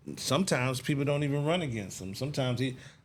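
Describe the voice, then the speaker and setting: A man with an American accent speaks amid audible room echo. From Texas, Dallas. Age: 40s. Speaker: talk show host. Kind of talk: interview.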